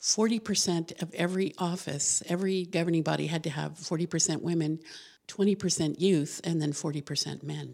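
A woman with an American accent speaks at a fairly low pitch in a dark, mellow tone with vocal fry and fairly even intonation, on a very clean recording with a silent background. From New Mexico, US. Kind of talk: casual interview. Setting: studio.

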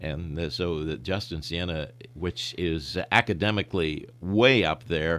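A man talks in a very deep, low pitch with vocal fry and ordinary pitch variation. The recording is very clean, with a silent background. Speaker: sportscaster. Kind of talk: interview. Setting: radio studio.

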